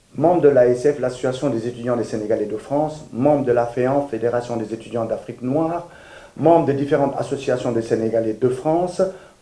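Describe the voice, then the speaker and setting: A man with an unremarkable speaking voice talks at a medium pitch. His pace is fairly quick, with ordinary pitch variation. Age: 60s. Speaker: political candidate. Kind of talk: campaign statement. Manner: formal.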